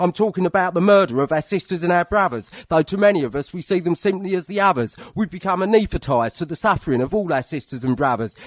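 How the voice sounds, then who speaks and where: A man with a high pitch speaks in a passionate tone at a very fast pace, with lively intonation and hardly any pauses. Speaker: spoken word performer and poet. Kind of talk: spoken word poetry performance. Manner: forceful, rhythmic, passionate.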